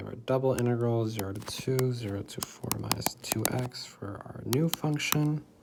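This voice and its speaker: With noticeable background noise, a man talks at a moderate pace with hardly any pauses, in a medium pitch with ordinary pitch variation. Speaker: math tutor. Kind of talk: tutorial. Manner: casual, conversational.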